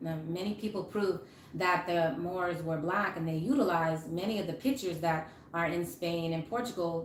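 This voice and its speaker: A woman's fairly low voice with ordinary pitch variation, audible room echo and noticeable background noise. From Massachusetts, Cape Verdean community. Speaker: religious teacher and clothing seller. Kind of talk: live religious teaching. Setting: livestream. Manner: hesitant with fillers.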